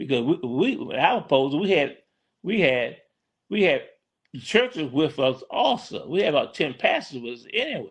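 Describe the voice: A man's voice has a fairly high pitch and a slightly husky edge. He moves at a moderate pace with big pitch swings.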